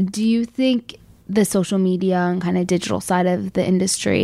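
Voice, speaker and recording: With an American accent, a woman speaks in a normal speaking voice at medium pitch, moderate pace and lively intonation. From Chicago. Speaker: podcast host. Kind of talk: interview.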